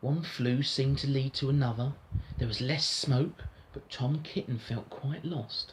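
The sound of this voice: Fairly even intonation shapes the delivery of an unforced reading voice.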